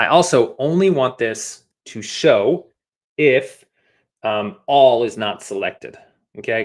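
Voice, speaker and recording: In a very clean recording with a silent background, the speaker uses a normal speaking voice. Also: man. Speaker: app design instructor. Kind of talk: live coding tutorial. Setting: livestream.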